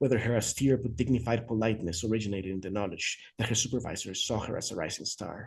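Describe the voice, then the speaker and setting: Very fast, somewhat breathy speech from a man at medium pitch with ordinary pitch variation. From Mexico City. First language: Spanish. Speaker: author. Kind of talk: reading aloud. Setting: video call.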